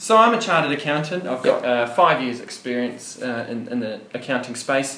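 A man talks at a fairly quick pace with hardly any pauses, against noticeable background noise. His intonation is lively. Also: medium pitch for a man. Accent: New Zealand. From New Zealand, Wellington. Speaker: accountant. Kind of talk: casual interview.

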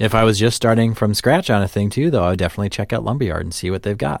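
In a Midwestern US accent, the voice goes at a very fast pace with ordinary pitch variation on a very clean recording with a silent background. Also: man. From US Midwest. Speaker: podcast host. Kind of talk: casual chat. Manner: jokey, bantering.

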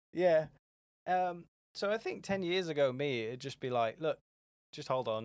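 Speaking with an English accent, this voice has lively intonation broken up by long, frequent pauses. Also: man, fairly high pitch for a man, moderate pace. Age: 20s. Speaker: business founder. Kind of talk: casual chat.

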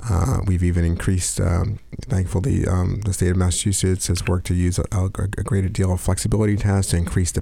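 A man's very deep, low voice in an American accent, fairly quick, with ordinary pitch variation. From New York area. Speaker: housing nonprofit executive. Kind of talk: radio interview. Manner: halting, many fillers.

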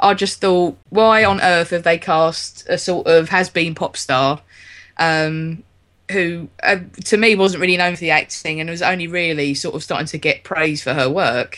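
With a London accent, a woman speaks at a moderate pace against a quiet background. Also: fairly low pitch for a woman, ordinary pitch variation. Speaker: podcast host. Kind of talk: casual chat.

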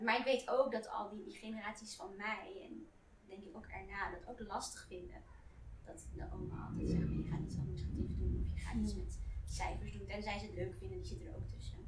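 Against noticeable background noise, the talking moves along at a fairly quick pace. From Netherlands, Surinamese family. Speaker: audience member. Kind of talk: book club discussion. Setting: bookshop with small audience.

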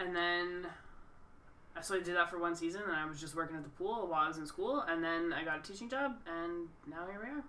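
Over noticeable background noise, a woman with an Albertan accent speaks very fast in a fairly low pitch, with ordinary pitch variation. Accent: Canadian (Alberta). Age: 30s. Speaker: podcast co-host, teacher. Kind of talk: casual chat.

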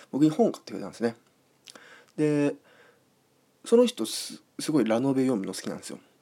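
Dark and mellow, a man's fairly high voice swings very widely in pitch. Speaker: podcast host. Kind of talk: casual solo talk.

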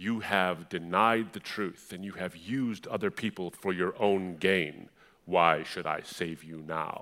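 A man in a booming, put-on character voice speaks at a very deep, low pitch and a fairly slow pace, in a very clean recording with a silent background. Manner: booming, godly, commanding.

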